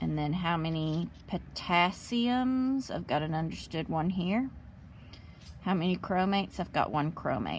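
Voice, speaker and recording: This is an ordinary speaking voice. It moves at a fairly slow pace with lively intonation. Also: woman, fairly low pitch for a woman. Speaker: chemistry teacher. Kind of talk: tutorial.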